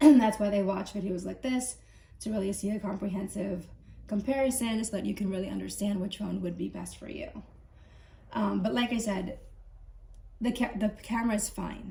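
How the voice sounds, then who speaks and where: With noticeable background noise, the speech has ordinary pitch variation and long, frequent pauses. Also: woman, medium pitch for a woman, moderate pace. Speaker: tech reviewer. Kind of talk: casual talk to camera.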